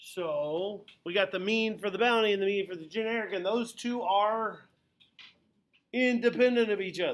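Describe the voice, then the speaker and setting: This man talks loudly at a high pitch, keeping his intonation fairly even. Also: moderate pace. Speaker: high school statistics teacher. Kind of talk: classroom lecture. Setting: classroom with students.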